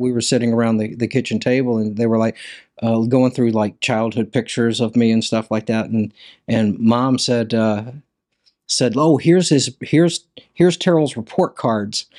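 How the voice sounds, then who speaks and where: With a Mississippi accent, a man speaks at a moderate pace and medium pitch with ordinary pitch variation, in a very clean recording with a silent background that sounds dry and close with no echo. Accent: Southern US (Mississippi). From US South, Hattiesburg, Mississippi. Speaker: printmaker and artist. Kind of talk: interview.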